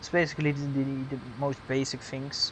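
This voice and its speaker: This man's voice is fairly high and somewhat breathy. He keeps a moderate pace. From Netherlands. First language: Dutch. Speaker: gaming streamer. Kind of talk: live stream commentary. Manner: halting.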